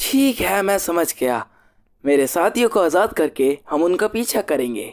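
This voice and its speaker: A put-on character voice at a middle pitch, speaking at a fairly slow pace on a very clean recording with a silent background. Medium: fan dub. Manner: loud, impulsive.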